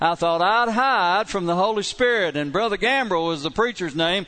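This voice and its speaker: A man speaks in a high voice with a bright, sharp tone and lively intonation. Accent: Kentucky. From southeastern Kentucky. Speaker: pastor. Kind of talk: sermon. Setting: church.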